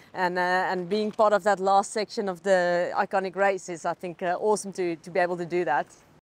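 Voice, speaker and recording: Over a dry sound with no echo, a woman talks at a fairly quick pace with hardly any pauses and a monotone, flat intonation. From South Africa. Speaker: triathlete. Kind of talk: interview. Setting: at a race venue. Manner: halting, many fillers. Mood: cheerful, relaxed. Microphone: lapel.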